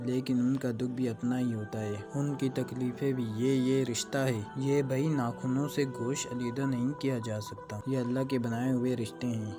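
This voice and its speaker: Music in the background beneath a man's fairly even intonation. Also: medium pitch for a man. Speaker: Islamic preacher giving a sermon (bayan). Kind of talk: Islamic sermon, emotional retelling of a historical story. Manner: emotional, passionate, expressive.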